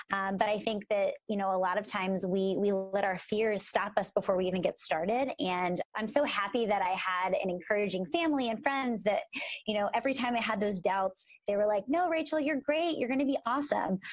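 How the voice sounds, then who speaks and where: A woman talks at a fairly quick pace with a medium pitch and lively intonation. It is a plain, everyday voice. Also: very even loudness. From Philadelphia, US. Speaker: podcast co-host, speech-language pathologist. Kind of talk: casual podcast chat.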